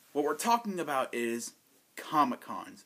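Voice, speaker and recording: Moving at a moderate pace, a man speaks in a bright, sharp tone with very wide pitch swings. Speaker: vlogger. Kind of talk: casual vlog chat. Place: home room.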